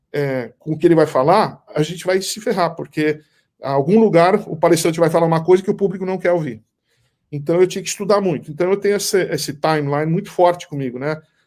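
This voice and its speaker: On a very clean recording with a silent background, a man speaks at a very fast pace in a high pitch. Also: ordinary pitch variation. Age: 60s. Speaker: business author and event co-founder. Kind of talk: interview. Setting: live stream. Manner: halting, with frequent restarts.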